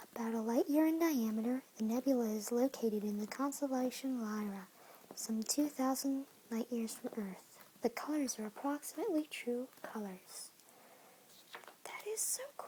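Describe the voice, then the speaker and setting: Someone whispers, soft-spoken, at a moderate pace over light background noise. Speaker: reader of a tactile book. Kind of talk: reading photo captions aloud from a book, casual comments. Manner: soft-spoken, whispered. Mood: interested, enthusiastic. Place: home room. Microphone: phone near.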